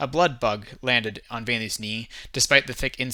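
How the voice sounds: Natural voice reading a text aloud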